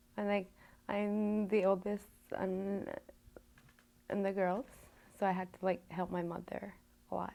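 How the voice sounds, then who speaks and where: A woman with a Canadian Arctic accent speaks at a medium pitch in a dark, mellow tone, her intonation flat and monotone, with long, frequent pauses. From Nunavut, Canada (Pangnirtung). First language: Inuktitut. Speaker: student. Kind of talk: interview. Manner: halting.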